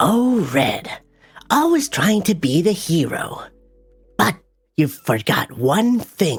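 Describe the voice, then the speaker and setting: In a put-on character voice at a middle pitch, the speaker swings widely in pitch at a very slow pace with long, frequent pauses. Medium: tutorial demo. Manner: taunting.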